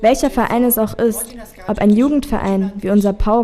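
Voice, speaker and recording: Noticeable background noise surrounds this recording. A woman with a fairly high pitch speaks at a moderate pace with fairly even intonation. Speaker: young club member. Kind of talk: interview statement.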